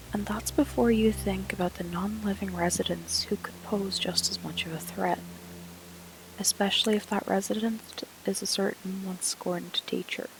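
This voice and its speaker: Noticeable background noise accompanies words delivered at a moderate pace. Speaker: paranormal storyteller. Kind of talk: paranormal story narration.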